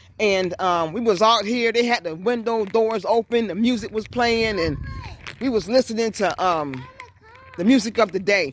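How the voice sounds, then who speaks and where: An animated woman with a fairly high voice and ordinary pitch variation, moderate pace, noticeable background noise. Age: 60s. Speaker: vlogger. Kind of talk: casual walking vlog. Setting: outdoors.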